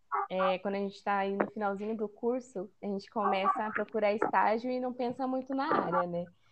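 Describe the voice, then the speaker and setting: Over noticeable background noise, a woman talks at a fairly quick pace, her medium pitch showing ordinary variation. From Brazil, São Paulo interior. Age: 20s. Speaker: food engineering student and product development analyst. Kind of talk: casual interview chat.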